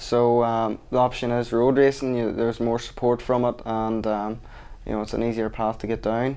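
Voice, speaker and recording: With a Northern Irish accent, a man of medium pitch speaks in a dark, mellow tone and monotone, flat intonation. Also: moderate pace. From Northern Ireland. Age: 20s. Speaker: motorcycle road racer. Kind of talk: sports interview.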